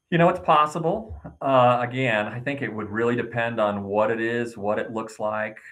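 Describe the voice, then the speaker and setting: A man speaks with hardly any pauses and ordinary pitch variation. Audible room echo surrounds his voice. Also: medium pitch for a man, moderate pace. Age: 60s. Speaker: state senator. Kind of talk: interview.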